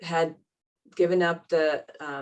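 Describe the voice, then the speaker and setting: The speaker is a woman with an American accent. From US Northeast, Boston area. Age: 60s. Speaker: teacher. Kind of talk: interview conversation.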